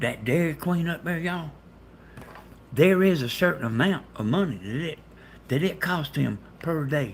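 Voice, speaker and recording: Somewhat breathy, a man with an American accent talks at a moderate pace with lively intonation. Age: 60s. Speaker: live streamer. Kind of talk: casual chat. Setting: livestream. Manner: animated.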